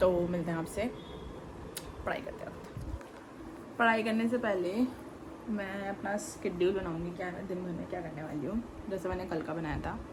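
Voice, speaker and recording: A woman speaks at a medium pitch with ordinary pitch variation, with noticeable background noise and audible room echo. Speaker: vlogger and student. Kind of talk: casual vlog monologue. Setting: in her room.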